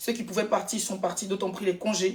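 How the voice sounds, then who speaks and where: A woman's medium-pitched voice is heard over noticeable background noise. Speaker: influencer. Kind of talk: live stream chat. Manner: animated.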